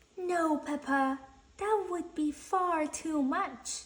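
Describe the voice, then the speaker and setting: A put-on character voice from a woman, extremely high-pitched and very slow. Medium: read story. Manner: patient, gentle.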